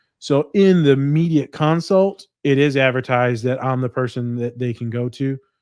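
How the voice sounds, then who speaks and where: Hardly pausing at all, a man of medium pitch talks in an animated tone with ordinary pitch variation. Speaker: therapist and counselor. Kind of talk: casual interview chat. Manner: fast.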